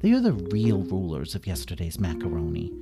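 A man puts on a character voice with a low pitch, a dark, mellow tone, vocal fry and very wide pitch swings. He goes at a fairly quick pace over faint music in the background.

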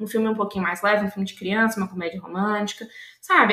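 A woman speaks while noticeable background noise carries on behind her. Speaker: journalist and podcast co-host. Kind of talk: casual chat.

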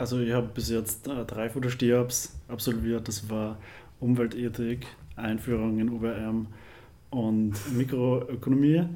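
Against audible room echo, a man speaks very slowly at medium pitch with a dark, mellow tone and fairly even intonation. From Upper Austria, near Linz. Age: 20s. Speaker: university student. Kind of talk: casual interview.

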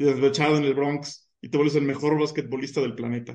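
This man talks at a moderate pace in an ordinary speaking voice, his pitch fairly high. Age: 20s. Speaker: mathematician. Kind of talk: casual chat.

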